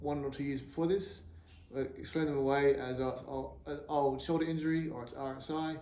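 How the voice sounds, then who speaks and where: A man's fairly high-pitched voice with an Australian accent, at a moderate pace. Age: 40s. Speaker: axe thrower with Parkinson's. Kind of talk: personal appeal to camera. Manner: hesitant, halting, repeats words.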